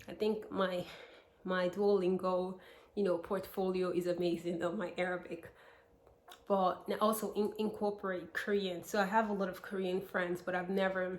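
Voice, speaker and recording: With an American accent, a woman talks at a moderate pace and medium pitch in a monotone, flat intonation. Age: 20s. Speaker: vlogger. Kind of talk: casual vlog talk to camera.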